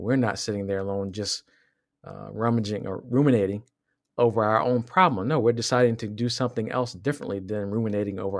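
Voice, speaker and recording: A man with an ordinary speaking voice and an American accent, ordinary pitch variation, on a very clean recording with a silent background. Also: big swings in loudness. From Southwest Virginia, US. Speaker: podcast co-host. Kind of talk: casual chat.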